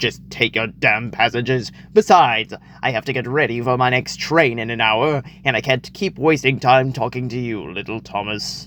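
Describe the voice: A man puts on a character voice at a medium pitch and a moderate pace, with clear background noise.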